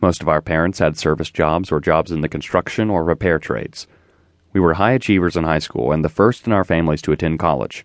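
Against a quiet background, a man with a very deep, low, warm voice talks very fast with ordinary pitch variation, the sound dry and close with no echo. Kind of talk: audiobook memoir narration. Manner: measured, reflective, warm; formal, steady.

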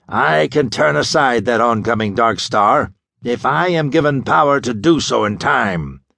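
Shouting in a put-on character voice, a man sounds raspy at medium pitch. He keeps a moderate pace. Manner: shouting, thunderous.

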